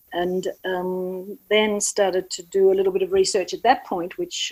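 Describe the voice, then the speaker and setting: A woman with an Australian accent, medium in pitch, at a moderate pace. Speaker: doula and birth educator. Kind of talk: podcast interview. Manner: halting, many fillers.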